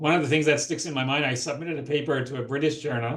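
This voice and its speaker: A man talks at a very fast pace in a somewhat breathy voice, his intonation fairly even. Room echo is audible. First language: not English. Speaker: physician researcher, lecture speaker. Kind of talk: Q&A discussion after lecture.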